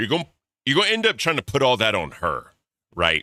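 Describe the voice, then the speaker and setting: With an American accent, a man sounds animated, with a bright, sharp tone and lively intonation in a dry, close recording with no echo. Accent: slight Southern drawl at times. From US South. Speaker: commentary streamer. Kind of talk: live reaction commentary. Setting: livestream. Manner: casual, animated.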